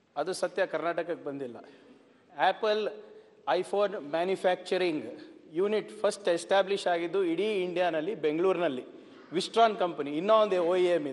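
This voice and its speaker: Pitched high, a man talks with ordinary pitch variation. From Karnataka. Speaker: politician, former IT minister; legislator in assembly debate. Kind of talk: parliamentary debate. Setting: legislative assembly. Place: hall. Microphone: podium.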